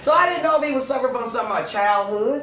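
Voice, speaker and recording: A woman's raised, projected voice, high in pitch and animated, at a very fast pace with lively intonation, amid noticeable background noise and audible room echo. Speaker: podcast host. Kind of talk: casual chat.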